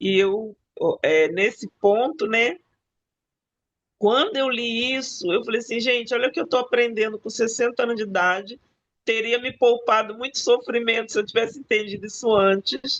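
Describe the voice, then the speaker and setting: Here a woman talks at a moderate pace. Her pitch is fairly high, with ordinary pitch variation. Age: 60s. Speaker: book club participant. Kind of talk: casual group discussion. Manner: animated.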